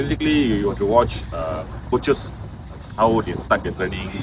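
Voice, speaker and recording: Over noticeable background noise, a man with a fairly low pitch talks with lively intonation. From Malaysia. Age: 60s. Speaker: football coach. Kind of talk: interview. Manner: halting.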